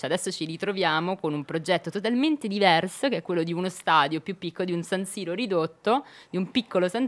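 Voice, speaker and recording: Fairly low in pitch, a woman speaks at a fairly quick pace with ordinary pitch variation. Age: young. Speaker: city councillor. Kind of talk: radio interview. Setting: radio studio. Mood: earnest, engaged on politics. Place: studio. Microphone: studio mic.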